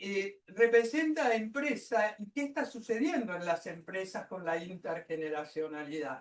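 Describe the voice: A woman at medium pitch, moderate pace and ordinary pitch variation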